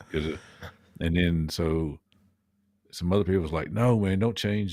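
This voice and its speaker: In a strong Southern US accent, a man talks at a moderate pace with ordinary pitch variation. His voice is very deep and low, with a dark, mellow tone. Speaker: podcast co-host. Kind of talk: casual chat.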